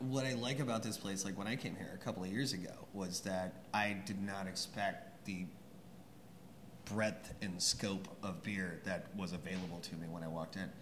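A man talks at a moderate pace with fairly even intonation. Faint background noise can be heard.

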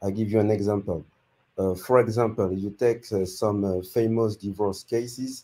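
In a dark, mellow tone, a man speaks at a moderate pace with a fairly low pitch and fairly even intonation. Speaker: YouTube growth consultant. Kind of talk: giving advice on a live stream. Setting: video call. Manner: halting.

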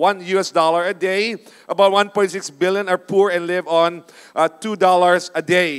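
At a fairly slow pace, a man with a high pitch speaks with fairly even intonation over a quiet background. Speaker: preacher. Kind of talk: sermon. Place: stage. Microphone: handheld.

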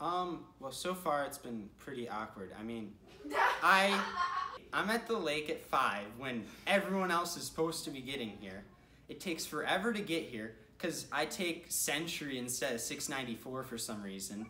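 Light background noise and audible room echo surround the recording. A man speaks at a moderate pace. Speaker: interviewee. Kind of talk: casual vlog confessional. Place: home room. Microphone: phone near.

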